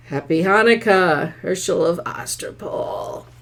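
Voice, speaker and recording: Put-on character voice at a fairly slow pace. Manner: eerie, sinister.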